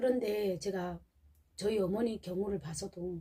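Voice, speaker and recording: Somewhat breathy, a woman speaks at a medium pitch. Her tone is dark and mellow. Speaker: vlogger. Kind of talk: casual monologue vlog. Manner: halting.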